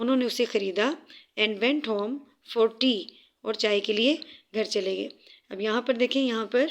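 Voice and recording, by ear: The text is read aloud in a natural voice. No sound comes from behind it.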